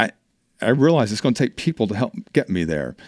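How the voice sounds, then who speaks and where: With a plain, everyday voice, a man of medium pitch talks at a fairly quick pace in a dry, close sound with no echo. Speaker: HR and business leadership consultant. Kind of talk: casual interview. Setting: studio.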